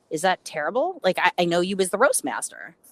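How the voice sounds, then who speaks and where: A woman with a Chicago accent makes very wide pitch swings in a dry, close sound with no echo. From Chicago, US. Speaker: interviewer, influencer. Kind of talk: casual chat. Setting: on a roof, audio call.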